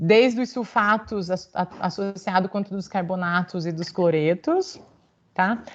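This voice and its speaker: A woman talks at medium pitch with fairly even intonation in an ordinary speaking voice. The background is quiet. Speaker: university lecturer. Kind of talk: lecture.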